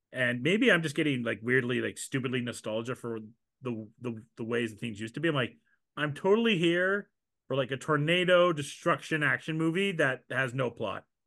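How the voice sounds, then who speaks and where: This is a man with a normal speaking voice at a medium pitch. His intonation is lively and his pace moderate. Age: 30s. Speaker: podcast host. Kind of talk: casual chat.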